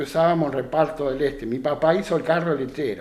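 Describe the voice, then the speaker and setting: Music plays behind a man speaking in a Rioplatense accent. He talks at a fairly quick pace with ordinary pitch variation. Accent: Argentine Spanish (rioplatense). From Argentina, Santa Fe province (San Carlos area). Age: 70s. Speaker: retired rural worker and craftsman. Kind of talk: radio interview. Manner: halting, with frequent repetitions.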